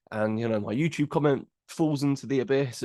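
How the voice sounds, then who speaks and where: Against a quiet background, a man with an English accent is heard in a dry, close sound with no echo. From England. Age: 20s. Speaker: podcast host. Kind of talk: podcast monologue. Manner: hesitant, many fillers and repeats.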